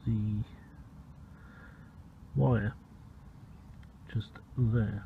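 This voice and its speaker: A man speaks with a British accent at a fairly low pitch, with vocal fry. His pitch variation is ordinary. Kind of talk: DIY car repair tutorial. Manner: casual.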